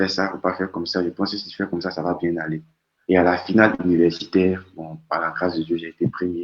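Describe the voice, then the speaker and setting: A man talks at a moderate pace in a very deep, low pitch. His intonation is monotone and flat. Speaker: doctoral researcher, guest speaker. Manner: stammering repetitions.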